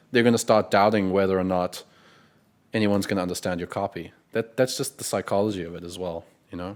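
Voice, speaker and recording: Someone speaks very fast with a South African accent and fairly even intonation. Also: man, fairly low pitch for a man. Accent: South African, clean pronunciation. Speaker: copywriting coach, interviewer. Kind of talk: interview.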